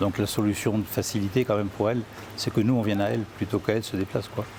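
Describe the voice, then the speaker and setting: Against noticeable background noise, a man with a fairly low pitch talks at a very fast pace in a monotone, flat intonation. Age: 60s. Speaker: gynecologist. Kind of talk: interview. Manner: hesitant.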